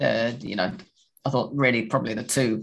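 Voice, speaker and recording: A man talks at a fairly quick pace with vocal fry. His pitch is medium, with ordinary variation. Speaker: podcast host. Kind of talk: casual chat about football. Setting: video call.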